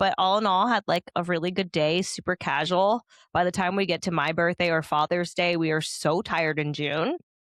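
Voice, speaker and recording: An animated woman with a Californian accent speaks fairly quickly at a fairly low pitch, in a dry, close sound with no echo and a quiet background. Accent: California. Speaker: podcast host. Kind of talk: casual chat.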